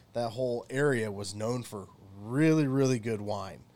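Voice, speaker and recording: A man with an American accent speaks in a normal speaking voice at a medium pitch with ordinary pitch variation. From US South. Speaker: archaeologist. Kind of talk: casual chat.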